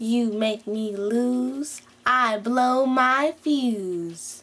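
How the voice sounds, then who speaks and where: A put-on character voice. It speaks at a very slow pace. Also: woman, high pitch for a woman. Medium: voice reel.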